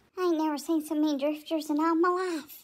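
A squeaky, put-on character voice rattles along at a very fast pace. Its intonation stays monotone and flat. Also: woman, extremely high pitch for a woman. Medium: solo performance.

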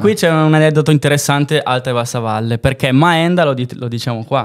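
A man at a fairly quick pace, ordinary pitch variation, quiet background. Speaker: dialect teacher, folk theatre actor. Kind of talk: casual anecdote in podcast conversation. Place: studio. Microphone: studio mic.

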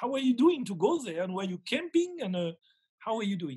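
A man with a French accent speaks at an extremely high pitch, swinging very widely. The background is quiet. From rural France. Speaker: gemologist and webinar host. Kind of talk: casual interview. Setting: video call. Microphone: video call.

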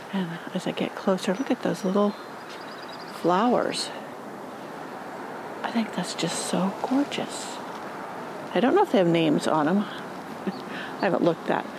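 Long, frequent pauses break up the speech, heard over noticeable background noise in a dry sound with no echo. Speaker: gardening vlogger. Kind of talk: casual vlog chat. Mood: delighted, admiring. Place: garden. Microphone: phone near.

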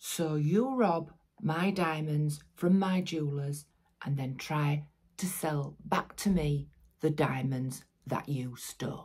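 Against a quiet background, a woman speaks very slowly in a very deep, low, somewhat breathy voice with ordinary pitch variation. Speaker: actor performing a crime-boss monologue. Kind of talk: dramatic acting monologue. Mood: angry, scornful. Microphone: phone near.

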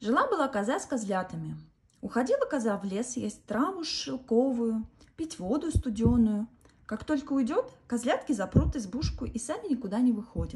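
This woman has a fairly high pitch that moves in big swings. Her tone is slightly mellow, with a husky, rough edge. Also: moderate pace.

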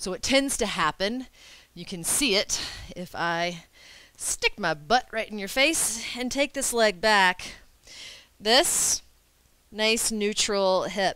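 Against a quiet background, a woman speaks at a very slow pace with long, frequent pauses, big swings in loudness and lively intonation. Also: dry sound with no echo. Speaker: yoga instructor. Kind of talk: tutorial. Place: home room. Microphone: headset.

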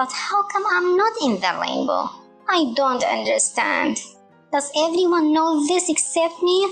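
Faint music plays in the background as a woman performs a cartoonish character voice at a high pitch, with a fairly bright tone, vocal fry and big pitch swings. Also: fairly slow pace.

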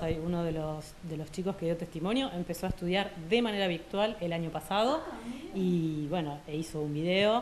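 Talking with hardly any pauses, a woman uses ordinary pitch variation against noticeable background noise. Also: big swings in loudness. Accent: Argentine. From Argentina. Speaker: French teacher. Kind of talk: interview. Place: classroom. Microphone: handheld.

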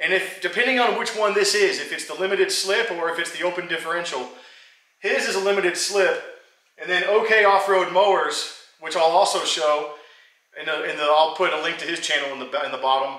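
Over a quiet background with audible room echo, a man talks at a high pitch. His pace is fairly quick and his pitch variation ordinary. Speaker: hobby mechanic vlogger. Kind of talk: casual vlog chat. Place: garage. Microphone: camera far.

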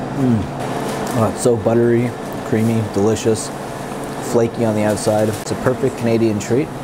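A man talks at a moderate pace. Loud background noise runs throughout. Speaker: food vlogger. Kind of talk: casual vlog chat.

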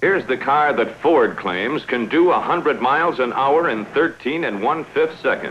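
Over noticeable background noise, a man talks at a fairly slow pace with hardly any pauses in a confident tone, a fairly high pitch and lively intonation. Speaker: commercial film narrator. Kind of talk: 1960s sponsored film narration. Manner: polished, authoritative, brisk promotional delivery; confident, punchy, salesman-like emphasis.

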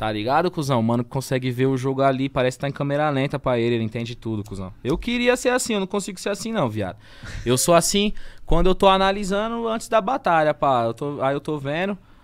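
A man talks very fast at a fairly high pitch. His pitch swings very widely. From São Paulo, Brazil. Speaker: freestyle battle rapper; podcast guest, battle rap MC. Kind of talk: casual chat. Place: studio. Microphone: studio mic.

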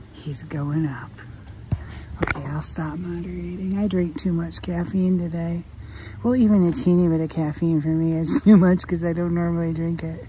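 The pace is moderate, with light background noise. The sound is dry, with no echo. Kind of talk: casual vlog commentary. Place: garden. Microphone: phone near.

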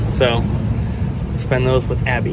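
Moderate-paced speech in a dry sound with no echo, over loud background noise. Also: man. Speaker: vlogger. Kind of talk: casual vlog chat. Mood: relaxed, friendly. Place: street. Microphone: phone near.

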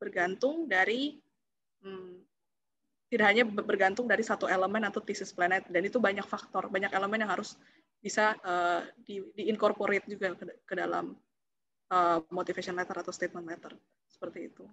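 Fairly quick speech comes from a woman at a medium pitch, with a bright, sharp tone and ordinary pitch variation. Her loudness swings widely, over light background noise. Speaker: scholarship alumna; webinar moderator. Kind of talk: webinar Q&A answer. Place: home room. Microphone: video call.

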